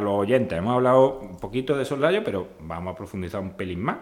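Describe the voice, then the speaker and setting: This man has an ordinary speaking voice, a fairly low pitch and lively intonation. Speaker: podcast host and veterinary lecturer. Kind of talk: casual interview.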